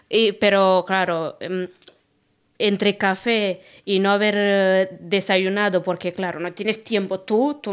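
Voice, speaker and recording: Her pace is fairly slow, and she speaks with a Romanian accent. The woman's intonation stays monotone and flat. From Romania, Constanța. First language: Romanian (speaking Spanish). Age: 30s. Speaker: podcast co-host, cleaning worker. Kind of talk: casual chat. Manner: hesitant, many fillers.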